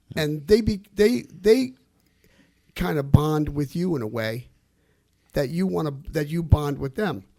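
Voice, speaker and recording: A man with a New Jersey accent talks at a fairly slow pace and a fairly high pitch, his dark, mellow tone swinging very widely in pitch between long, frequent pauses. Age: 60s. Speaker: musician. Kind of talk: radio interview.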